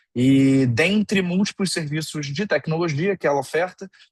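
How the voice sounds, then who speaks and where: Recorded with a dry, close sound and no echo, a man speaks in a fairly high, somewhat breathy voice. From Brazil. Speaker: innovation manager at a tech company. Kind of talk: online lecture.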